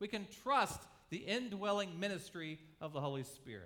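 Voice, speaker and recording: Audible room echo surrounds a raised, projected voice with a bright, sharp tone, delivered at a moderate pace. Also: man. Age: 40s. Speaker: pastor. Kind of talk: sermon.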